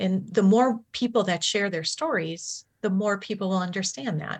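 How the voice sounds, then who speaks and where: In an American accent, a woman speaks at a medium pitch with ordinary pitch variation and a somewhat breathy quality, over a quiet background. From Milwaukee, Wisconsin, US Upper Midwest. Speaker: nurse in addiction recovery. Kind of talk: interview testimony.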